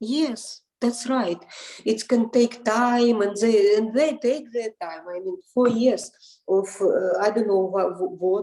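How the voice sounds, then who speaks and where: At a very slow pace, a woman with a non-native accent speaks in a dark, mellow tone at a fairly high pitch with ordinary pitch variation. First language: not English. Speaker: interviewee, parent in custody dispute. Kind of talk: interview. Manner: halting, many repetitions.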